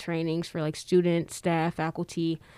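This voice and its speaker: A woman with an ordinary speaking voice, fairly low in pitch, with an American accent, on a very clean recording with a silent background. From Detroit, Michigan, US. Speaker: public health graduate student, wellness program assistant. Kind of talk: casual interview.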